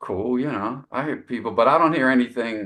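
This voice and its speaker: With vocal fry, a man talks at a moderate pace. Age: 60s. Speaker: jazz saxophonist. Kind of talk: casual interview chat. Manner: halting, many fillers and repetitions.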